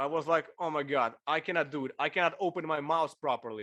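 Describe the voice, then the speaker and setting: With a Ukrainian accent, a man speaks at a moderate pace in a fairly high pitch, with ordinary pitch variation against a quiet background. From Ukraine. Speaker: bass player and video creator. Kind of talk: casual interview chat. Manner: slightly halting non-native phrasing.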